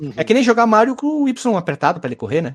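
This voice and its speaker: A man's pitch swings very widely. His delivery runs very fast. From Caxias do Sul, Rio Grande do Sul, Brazil. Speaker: podcast host. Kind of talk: casual chat.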